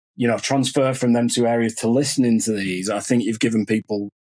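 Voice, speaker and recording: In a Lancashire accent, a man speaks at a moderate pace with a medium pitch. His intonation is fairly even, and the sound is dry and close with no echo. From northern England, Lancashire. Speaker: podcast host. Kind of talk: podcast interview.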